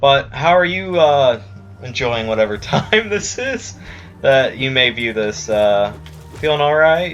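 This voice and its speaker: With music in the background, a man of medium pitch speaks at a fairly slow pace with very wide pitch swings. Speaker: video game streamer. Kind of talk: gameplay commentary. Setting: live stream.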